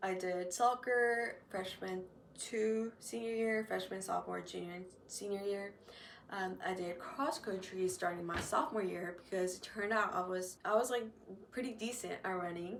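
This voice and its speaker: A woman with an American accent, medium pitch, moderate pace and a normal speaking voice. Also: ordinary pitch variation. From North Carolina. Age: 20s. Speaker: university student. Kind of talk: casual podcast talk.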